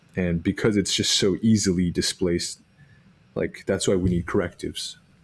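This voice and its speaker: A man is speaking. He has an American accent. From Texas (Arlington). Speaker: podcast co-host, minister. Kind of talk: casual chat.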